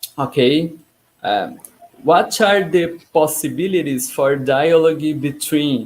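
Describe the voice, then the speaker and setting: Speaking at a very slow pace, a man uses a fairly high pitch with a Brazilian accent. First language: Portuguese. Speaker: interviewer. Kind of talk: interview questions.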